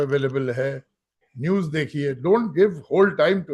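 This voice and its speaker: A somewhat breathy man's voice at a fairly high pitch. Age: 70s. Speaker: guest speaker on security. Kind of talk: lecture.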